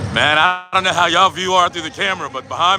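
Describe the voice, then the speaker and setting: A man speaks loudly at a fairly quick pace, his pitch high for a man. His tone is animated, with ordinary pitch variation. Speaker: drag racing livestreamer. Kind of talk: live commentary.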